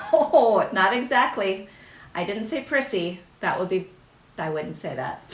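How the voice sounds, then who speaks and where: A woman speaks at a fairly high pitch and a fairly slow pace, her pitch swinging very widely. Long pauses come often. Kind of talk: casual chat during live craft tutorial. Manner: occasional throat clearing.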